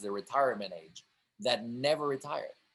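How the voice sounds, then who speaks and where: A man talks at a moderate pace and a medium pitch. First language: multilingual: English, French, Italian. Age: 40s. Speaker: film director. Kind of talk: interview conversation.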